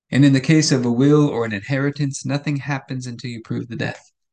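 In a normal speaking voice, a man talks with fairly even intonation at a fairly high pitch. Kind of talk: fervent prayer, earnest spoken petition to God; daily devotional meditation. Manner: earnest, heartfelt, steady and pleading.

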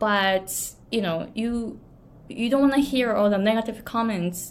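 A woman speaks with a Japanese accent. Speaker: pronunciation and business coach. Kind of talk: solo vlog talk to camera.

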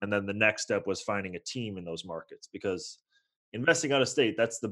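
A man speaks with an American accent. His voice sits fairly low in pitch. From US West Coast (San Francisco Bay Area). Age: 20s. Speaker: real estate investor. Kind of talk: interview.

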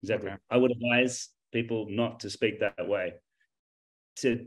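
A medium-pitched man with an Australian accent, monotone, flat intonation and a moderate pace. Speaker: English teacher, contestant. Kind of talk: competitive discussion.

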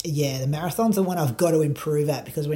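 With an Australian accent, a man speaks in a fairly high pitch with a dark, mellow tone and a somewhat breathy quality. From Australia, Bendigo. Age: 30s. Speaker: runner and podcast host. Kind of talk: casual chat.

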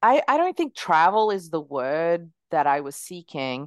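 A woman's fairly low-pitched voice at a moderate pace, with lively intonation. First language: not English. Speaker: entrepreneur. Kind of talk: interview.

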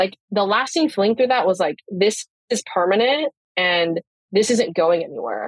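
Using an ordinary speaking voice, a woman talks at a moderate pace and medium pitch with lively intonation, in a dry, close sound with no echo. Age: 20s. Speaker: photographer and nutrition client. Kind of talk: interview. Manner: casual, many fillers.

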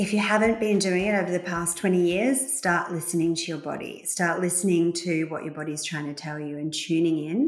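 This woman has an unremarkable speaking voice with ordinary pitch variation. She talks at a fairly quick pace. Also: fairly low pitch for a woman, hardly any pauses. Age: 40s. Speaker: gynaecologist. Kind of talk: interview.

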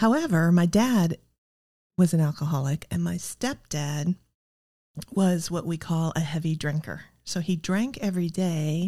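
With a Midwestern American accent, a woman speaks fairly slowly in a fairly low pitch and a dark, mellow tone, with ordinary pitch variation and long, frequent pauses, on a very clean recording with a silent background. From US Midwest, Iowa. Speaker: recovering alcoholic. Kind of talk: testimony.

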